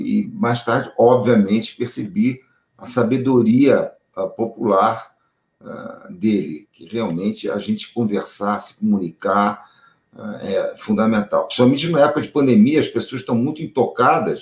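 A man's somewhat breathy, medium-pitched voice with lively intonation and big swings in loudness, at a fairly slow pace. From Brazil. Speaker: TV producer. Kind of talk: interview. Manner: halting.

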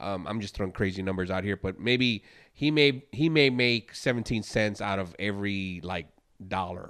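Moderate-tempo speech from a man, a normal speaking voice, pitched fairly low. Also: ordinary pitch variation. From US Midwest, Chicago. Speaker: podcast co-host, former DJ. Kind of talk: casual chat.

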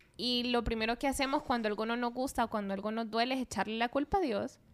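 This woman has a normal speaking voice with a fairly high pitch. She talks at a moderate pace on a very clean recording with a silent background. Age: 30s. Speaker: physician. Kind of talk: casual chat.

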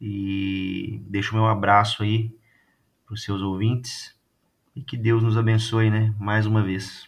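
Music in the background behind a man's fairly low, monotone, flat voice at a fairly slow pace. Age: 30s. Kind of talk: casual chat.

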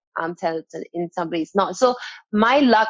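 A woman at a moderate pace, medium in pitch, with lively intonation and an unremarkable speaking voice. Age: 20s. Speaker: dance coach. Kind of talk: interview.

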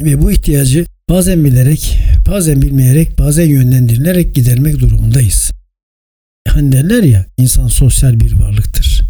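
A man speaks at a moderate pace. His loudness stays very even. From Turkey, İzmir. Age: 60s. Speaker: podcast host, journalist and communication expert. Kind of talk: solo podcast talk, scripted monologue. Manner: formal.

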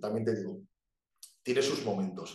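Audible room echo colors the recording. The speaker is a man. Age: 20s. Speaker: bodybuilder. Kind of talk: casual chat.

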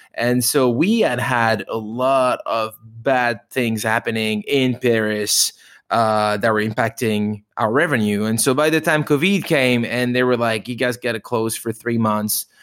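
A man speaks fairly slowly with a French accent. The recording is very clean, with a silent background. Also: medium pitch for a man, hardly any pauses. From France. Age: 30s. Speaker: restaurant owner. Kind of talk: interview. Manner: animated.

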